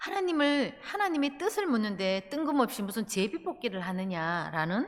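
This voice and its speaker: A woman speaks at a fairly slow pace with a Gyeongsang accent. The recording is very clean with a silent background. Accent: picked-up Gyeongsang pronunciation. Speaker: pastor. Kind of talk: sermon. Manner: halting, many filler sounds.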